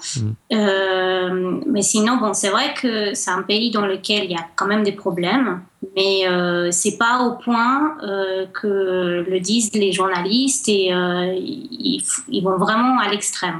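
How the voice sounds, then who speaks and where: Over noticeable background noise, a woman speaks at medium pitch and a very slow pace, with very even loudness and ordinary pitch variation. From Colombia, Cali. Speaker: guest. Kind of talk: radio interview.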